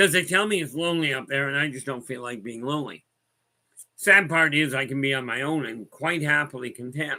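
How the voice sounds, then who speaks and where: Talking at a fairly quick pace, a man with a fairly high pitch and a bright, sharp tone shows ordinary pitch variation on a very clean recording with a silent background. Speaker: spiritual guide. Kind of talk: casual livestream talk.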